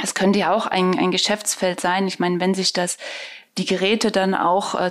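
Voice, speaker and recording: A woman speaks in a normal speaking voice at medium pitch. Her pace is moderate. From eastern Germany. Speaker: podcast host. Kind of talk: interview.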